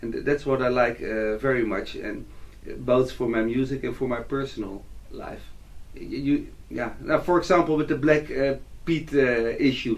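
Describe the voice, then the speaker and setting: At a moderate pace, a man talks with a Dutch accent. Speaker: musician and composer. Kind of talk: interview. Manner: halting.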